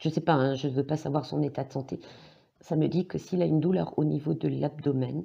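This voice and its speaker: Her pitch very deep and low, a woman speaks with vocal fry, ordinary pitch variation and very even loudness. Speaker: psychic, tarot reader. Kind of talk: tarot reading monologue. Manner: hesitant, many fillers.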